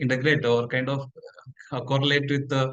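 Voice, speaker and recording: A man at a medium pitch talks in a monotone, flat intonation. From Kerala, India (Kasaragod district). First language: Markodi (related to Tulu). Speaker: computational linguistics scientist. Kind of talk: webinar lecture. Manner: hesitant, many fillers.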